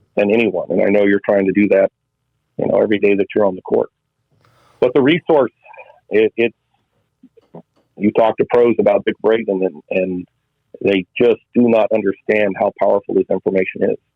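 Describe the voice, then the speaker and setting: A man talks at a moderate pace, leaving long, frequent pauses. His loudness stays very even throughout. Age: 50s. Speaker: tennis club director. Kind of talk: casual interview chat.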